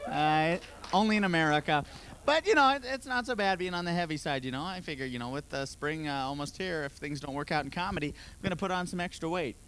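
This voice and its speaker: A man's high voice at a very fast pace with lively intonation. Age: 20s. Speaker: stand-up comedian. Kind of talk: stand-up. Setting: stage with audience.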